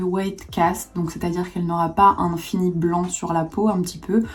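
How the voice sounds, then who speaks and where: At a moderate pace, a woman talks in a somewhat breathy voice of medium pitch. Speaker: beauty youtuber. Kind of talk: product review.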